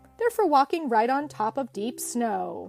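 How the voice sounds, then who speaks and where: A woman's put-on character voice over faint music in the background. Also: moderate pace. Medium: read story. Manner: warm, reassuring.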